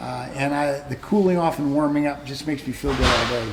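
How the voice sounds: A man's slightly mellow voice with fairly even intonation and audible room echo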